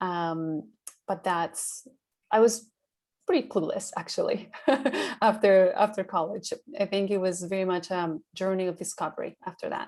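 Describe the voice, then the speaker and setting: Speaking at a moderate pace with a Spanish accent, a woman at medium pitch keeps fairly even intonation and takes long, frequent pauses, in a very clean recording with a silent background. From Colombia, Bogota. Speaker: sales and insights manager, alum. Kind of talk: panel interview.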